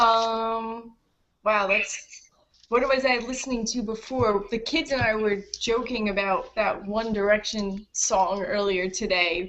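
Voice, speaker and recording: A woman with an unremarkable speaking voice, fairly high in pitch, fairly slow in pace and fairly even in intonation. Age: 30s. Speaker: author and English teacher. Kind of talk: casual chat.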